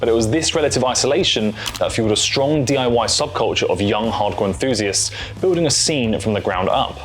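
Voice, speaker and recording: With music in the background and audible room echo, a man with a British accent speaks at a fairly quick pace. His medium pitch carries lively intonation. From Britain. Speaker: music YouTuber. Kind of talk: scripted narration. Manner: casual, humorous asides.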